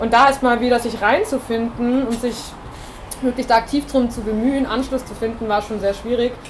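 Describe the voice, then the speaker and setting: With noticeable background noise behind her, a woman speaks at a moderate pace in a high pitch with monotone, flat intonation. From Bavaria. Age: 20s. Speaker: music student and singer-songwriter. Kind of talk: panel discussion.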